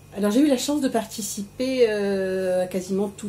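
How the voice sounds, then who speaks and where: A woman at a moderate pace with ordinary pitch variation over noticeable background noise. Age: 60s. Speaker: cancer patient. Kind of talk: testimony. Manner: halting.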